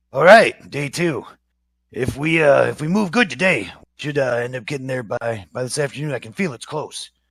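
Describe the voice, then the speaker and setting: A man puts on a raspy character voice at a fairly high pitch. He speaks at a moderate pace with lively intonation. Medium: actual play.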